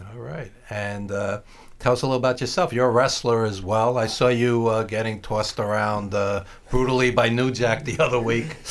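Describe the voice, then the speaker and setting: In a New York accent, a man talks at a medium pitch. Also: ordinary pitch variation, moderate pace. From Brooklyn, New York (East Flatbush). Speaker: radio host. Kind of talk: radio interview.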